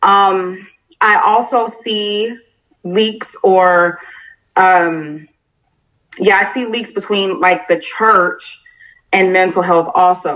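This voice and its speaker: A woman with an American accent speaks at a medium pitch and a very slow pace, her intonation fairly even and her pauses long and frequent. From Florida. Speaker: army veteran and social worker. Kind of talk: interview.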